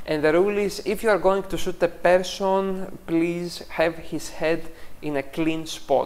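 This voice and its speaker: With a non-native accent, someone speaks at a fairly slow pace. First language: not English. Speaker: photography teacher and critique show host. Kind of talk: tutorial. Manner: hesitant, frequent fillers.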